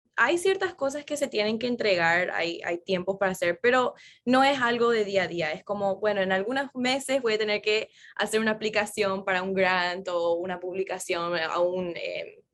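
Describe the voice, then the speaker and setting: The pace is moderate and the pitch varies in an ordinary way, with a quiet background behind it. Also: woman, medium pitch for a woman. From Florida, US, Paraguayan parents. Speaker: neuroscientist. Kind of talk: interview conversation.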